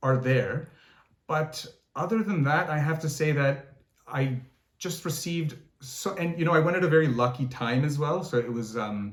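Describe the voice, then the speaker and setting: A man with a fairly high pitch and a somewhat breathy voice speaks at a moderate pace with ordinary pitch variation. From Canada, Toronto. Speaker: singer. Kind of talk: interview. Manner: halting, many fillers and repeats.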